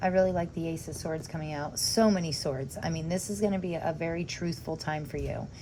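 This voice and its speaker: A woman speaks at a moderate pace with a fairly low pitch and a dark, mellow tone. Her pitch variation is ordinary, and audible room echo surrounds her. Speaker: tarot reader. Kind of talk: tarot reading video. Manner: halting, stumbling over words; casual, chatty.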